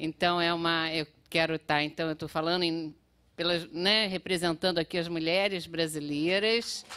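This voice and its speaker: Her tone is bright and sharp. The woman keeps a moderate pace and fairly even intonation. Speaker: public health researcher; panel lecturer. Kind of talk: conference talk with slides. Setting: auditorium with audience. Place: hall. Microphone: podium.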